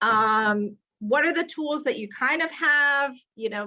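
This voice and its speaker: A woman's loud, high-pitched voice has a bright, sharp tone and ordinary pitch variation. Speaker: retail executive. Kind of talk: webinar talk. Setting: video call. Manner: animated.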